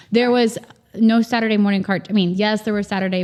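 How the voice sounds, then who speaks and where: A woman's normal speaking voice at a fairly quick pace, fairly even intonation, on a very clean recording with a silent background. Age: 40s. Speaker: farmer and communications professional. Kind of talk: casual interview chat.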